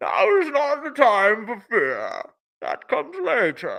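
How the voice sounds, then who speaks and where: The voice is a put-on character voice. It moves at a fairly slow pace. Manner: menacing, cool.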